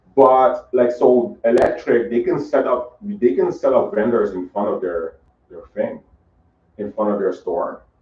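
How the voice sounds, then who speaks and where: Talking at a fairly slow pace, a man's voice shows big swings in loudness. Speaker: event organizer, podcast host. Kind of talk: casual planning discussion.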